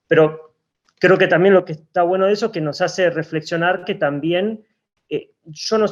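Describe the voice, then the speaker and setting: Fairly even intonation in a man's high voice. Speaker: linguist. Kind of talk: academic panel discussion. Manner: fast; halting, with repetitions and fillers.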